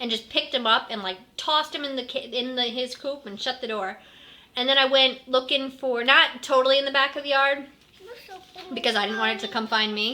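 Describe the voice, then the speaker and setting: A woman speaks in a raised, projected voice at a high pitch with a bright, sharp tone. Her pace is fairly quick and her pitch variation ordinary. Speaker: mom vlogger. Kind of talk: casual vlog storytelling. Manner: fast.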